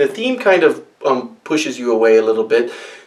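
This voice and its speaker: Background noise is noticeable as a man speaks very fast. His pitch swings very widely. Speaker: board game reviewer. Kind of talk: tutorial. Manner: animated.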